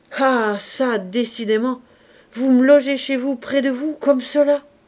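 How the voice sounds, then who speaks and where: In a put-on character voice, a woman shouts at a fairly slow pace, her voice hoarse, raised and projected, with a high pitch. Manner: shouting, wild.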